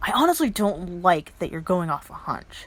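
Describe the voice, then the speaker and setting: Someone uses a gruff, put-on character voice at a moderate pace. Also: woman, medium pitch for a woman. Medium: read story. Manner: gruff, curt.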